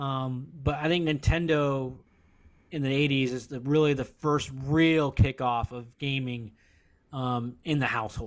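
A man's plain, everyday voice at medium pitch, fairly slow in pace, with fairly even intonation. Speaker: podcast co-host. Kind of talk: casual chat.

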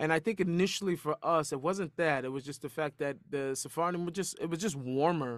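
Using a normal speaking voice, a man with an American accent talks at a fairly quick pace and a fairly high pitch with ordinary pitch variation, on a very clean recording with a silent background. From US Pacific Northwest, Seattle. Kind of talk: casual interview conversation.

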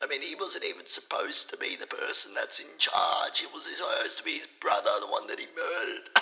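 Over noticeable background noise, a man talks at a fairly quick pace with hardly any pauses, using an extremely high pitch and ordinary pitch variation. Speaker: professor. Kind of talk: interview.

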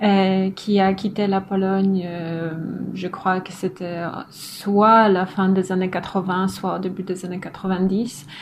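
At a very slow pace, a woman speaks with a medium pitch and monotone, flat intonation. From northern Poland. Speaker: philosopher, doctoral researcher. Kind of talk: casual interview. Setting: at home.

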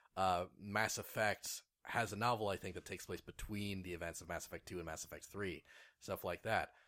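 A man speaks in an ordinary speaking voice at a fairly quick pace, with fairly low pitch and fairly even intonation. The recording is very clean, with a silent background. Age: 30s. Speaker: video game podcast co-host. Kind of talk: casual chat.

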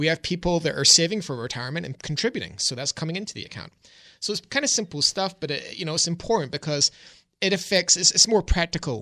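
A man talks at a very fast pace with lively intonation and a bright, sharp tone. The sound is dry and close with no echo, over a quiet background. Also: big swings in loudness. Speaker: financial advisor. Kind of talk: radio call-in advice show. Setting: radio studio.

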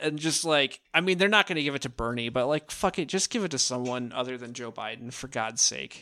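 On a very clean recording with a silent background, a man with an American accent speaks at a fairly quick pace, his medium-pitched voice bright and sharp in tone with lively intonation. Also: hardly any pauses. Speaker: podcast co-host. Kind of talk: casual chat.

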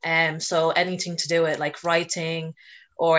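In a Dublin accent, a woman talks at a moderate pace with a monotone, flat delivery. Her pitch sits fairly low. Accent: Dublin Irish. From Ireland, Dublin. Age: 20s. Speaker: student and mental health advocate. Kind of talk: podcast interview.

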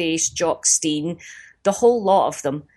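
A woman speaks at a moderate pace. She has a Glaswegian accent. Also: dry, close sound with no echo. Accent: Glaswegian Scottish. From Scotland, East End of Glasgow. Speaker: comedian. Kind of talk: interview.

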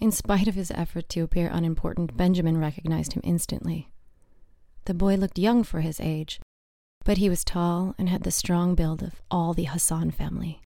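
An ordinary speaking voice from a woman, fairly low in pitch, fairly quick in pace and fairly even in intonation. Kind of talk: audiobook reading of a novel, scripted narration. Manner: steady, measured storyteller pace.

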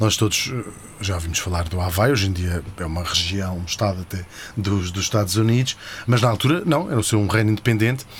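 A fairly low-pitched, somewhat breathy man's voice at a fairly quick pace, with ordinary pitch variation. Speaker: podcast host. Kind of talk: comedic history storytelling. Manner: animated.

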